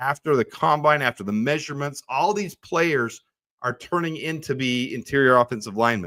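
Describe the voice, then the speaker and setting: Animated and bright, sharp in tone, a man talks at a fairly quick pace in a dry, close sound with no echo. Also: fairly high pitch for a man, ordinary pitch variation. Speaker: sports channel host. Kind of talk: live stream commentary. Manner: fast.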